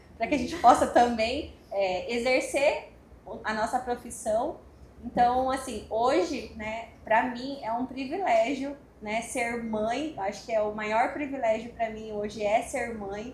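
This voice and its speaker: With an audible room echo and noticeable background noise, a woman with a high voice speaks at a very slow pace and ordinary pitch variation. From Cuiabá, Mato Grosso, Brazil. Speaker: psychologist. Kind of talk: panel talk at event.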